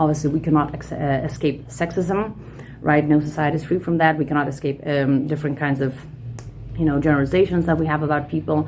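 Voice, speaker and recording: A woman's very deep, low voice with a Lithuanian accent, very fast, with monotone, flat intonation. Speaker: podcaster, personal development coach. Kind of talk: monologue podcast talk. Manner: casual, many fillers and repetitions.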